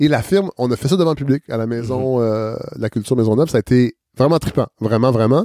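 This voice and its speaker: A dark, mellow tone from a man at medium pitch, ordinary pitch variation, dry and close with no echo. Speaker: podcast host and former radio worker. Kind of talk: casual interview. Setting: at his home.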